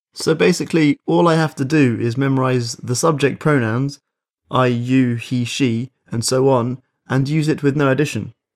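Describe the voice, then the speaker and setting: On a very clean recording with a silent background, a man with an English accent speaks at medium pitch and a moderate pace with ordinary pitch variation. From England. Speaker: podcast host. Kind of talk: language lesson. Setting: studio.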